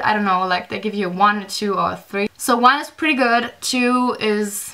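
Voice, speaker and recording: A woman with a strong German accent, fairly high pitch and a bright, sharp tone, at a moderate pace. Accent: thick German. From Germany. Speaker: vlogger. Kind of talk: storytime vlog. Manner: casual, filler-heavy.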